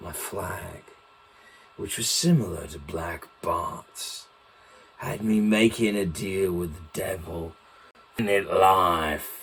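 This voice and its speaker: Using a raspy put-on character voice with a fairly low pitch, a man goes at a very slow pace with long, frequent pauses. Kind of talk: in-character storytelling talk.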